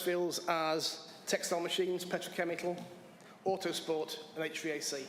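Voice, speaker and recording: Recorded with audible room echo and noticeable background noise, a man with an English accent speaks at a fairly high pitch. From England. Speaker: applicant to town board. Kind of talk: public comment at council meeting.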